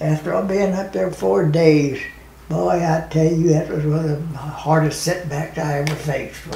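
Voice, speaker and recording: Amid audible room echo, a man with an American accent speaks at a high pitch. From United States. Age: 80s+. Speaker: war veteran. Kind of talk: interview answer. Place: home room.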